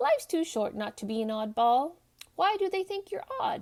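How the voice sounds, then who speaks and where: In a put-on character voice, a woman squeaks at an extremely high pitch with very wide pitch swings, keeping a moderate pace. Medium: read story. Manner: warm, gently theatrical.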